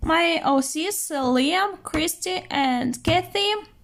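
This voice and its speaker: This woman talks with a non-native accent. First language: not English. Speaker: art vlogger. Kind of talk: casual show-and-tell narration. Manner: hesitant with fillers.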